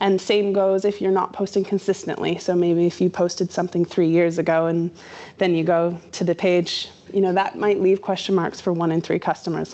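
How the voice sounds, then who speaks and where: An ordinary speaking voice with a Canadian accent. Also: woman. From Canada. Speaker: social media marketer. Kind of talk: workshop presentation. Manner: casual, conversational.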